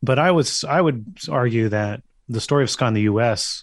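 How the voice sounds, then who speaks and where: A man speaks at a medium pitch with a Californian accent. Behind him the background is quiet. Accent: Californian American. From US West Coast, San Francisco Bay Area. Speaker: music journalist and author. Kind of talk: casual interview.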